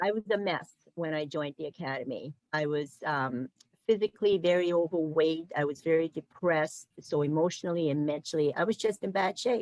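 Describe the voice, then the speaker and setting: A plain, everyday voice at a fairly quick pace with ordinary pitch variation, in a dry, close sound with no echo. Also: woman, fairly low pitch for a woman. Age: 60s. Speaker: program manager and former client. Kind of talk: testimony.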